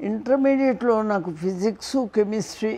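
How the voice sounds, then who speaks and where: A woman speaks with a dark, mellow tone and ordinary pitch variation. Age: 80s+. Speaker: physics professor. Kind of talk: interview answer. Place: home room. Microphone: lapel.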